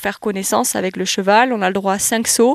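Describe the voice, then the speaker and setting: This woman has a plain, everyday voice and a fairly high pitch. She talks at a fairly quick pace with fairly even intonation. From southwest France, Landes. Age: 20s. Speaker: athlete. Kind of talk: interview.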